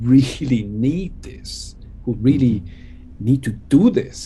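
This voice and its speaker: A man with a Swiss accent speaks at a fairly slow pace and medium pitch in a somewhat breathy voice. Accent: Swiss-tinged. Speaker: electronic musician. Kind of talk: casual chat. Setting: video call. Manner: animated.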